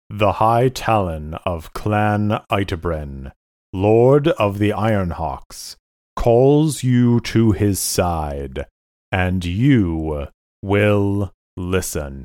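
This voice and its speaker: A man uses a put-on character voice, fairly low in pitch. He speaks at a very slow pace on a very clean recording with a silent background. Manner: cold, formal, servile.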